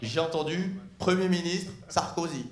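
High-pitched and with lively intonation, a man speaks over noticeable background noise. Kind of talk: stand-up comedy. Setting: stage with audience. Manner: irreverent, mock-casual delivery with audience interaction.

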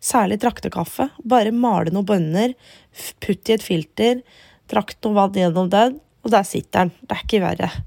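A woman with a dark, mellow tone speaks at a moderate pace. The sound is dry and close, with no echo. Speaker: podcast host. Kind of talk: casual chat. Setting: in bed at home.

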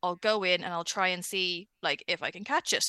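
Against a quiet background, a woman with an Irish accent speaks in a bright, sharp tone with ordinary pitch variation, the sound dry and close with no echo. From Ireland. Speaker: pop culture website editor. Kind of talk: casual chat. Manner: animated.

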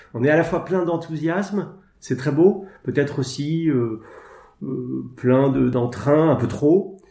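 A man's very slow, somewhat breathy speech, dark and mellow in tone, at a fairly high pitch with ordinary pitch variation. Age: 40s. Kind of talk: interview. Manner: halting.

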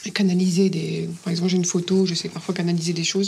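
A woman speaks in a fairly low pitch with monotone, flat intonation over noticeable background noise. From northern France, Dunkirk. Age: 40s. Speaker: nurse and therapist, dating show participant. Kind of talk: casual chat, blind date. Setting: in total darkness, recorded date.

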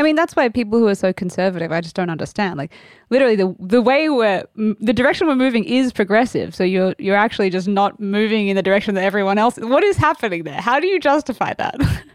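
This speaker has an Australian accent and lively intonation, talking very fast with hardly any pauses. The recording is very clean, with a silent background. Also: woman, fairly high pitch for a woman. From Sydney, Australia. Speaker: actor and singer-songwriter. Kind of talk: casual chat.

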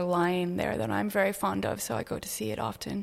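A woman speaks at a moderate pace in a fairly low pitch. It is a plain, everyday voice. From Canada (Toronto), earlier Brazil and South Africa. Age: 30s. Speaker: artist. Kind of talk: interview. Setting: artist's studio.

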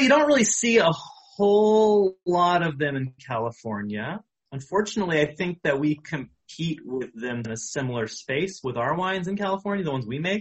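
A high-pitched man with an American accent, very wide pitch swings and hardly any pauses. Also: moderate pace. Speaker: sommelier. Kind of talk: casual interview.

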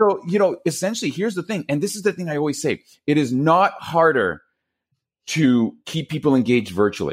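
This man talks at a fairly quick pace with a Quebec accent. His fairly high pitch rides on lively intonation. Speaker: public speaking consultant. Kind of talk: interview. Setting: video call. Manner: animated.

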